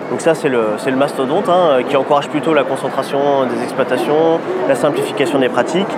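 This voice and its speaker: Against noticeable background noise and audible room echo, a man with a fairly high pitch speaks at a fairly quick pace with fairly even intonation. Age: 30s. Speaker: dairy farmer and farm advocacy leader. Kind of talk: interview. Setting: agricultural fair.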